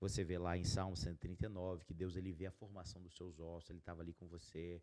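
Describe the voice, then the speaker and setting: This man talks at a very fast pace in a very deep, low voice with a dark, mellow tone. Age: 30s. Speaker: podcast host, entrepreneur. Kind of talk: casual chat.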